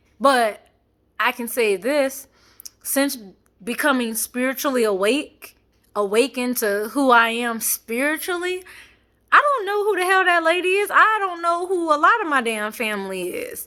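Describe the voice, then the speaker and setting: Her voice raised and projected, a woman talks at a moderate pace with a high pitch that swings very widely. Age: 20s. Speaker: vlogger. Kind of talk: casual personal vlog. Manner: rambling, many fillers.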